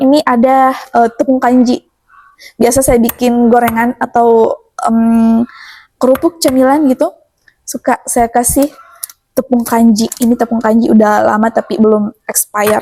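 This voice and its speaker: Captured with a dry, close sound and no echo, a woman's high-pitched voice has a dark, mellow tone, fairly even intonation, very even loudness, and a moderate pace. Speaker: cooking and village-life vlogger. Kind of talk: casual cooking vlog. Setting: home kitchen. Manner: chatty, conversational.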